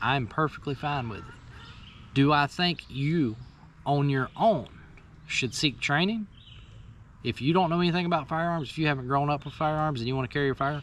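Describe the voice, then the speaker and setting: This man speaks at a fairly quick pace with a fairly high pitch and ordinary pitch variation. His speech has long, frequent pauses. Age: 40s. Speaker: firearms instructor and channel host. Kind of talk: casual talk-show monologue.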